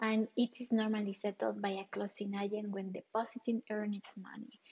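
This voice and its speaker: Somewhat breathy and at a moderate pace, a woman with a Spanish accent speaks at medium pitch with monotone, flat intonation. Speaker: real estate advisor. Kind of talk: solo podcast explainer.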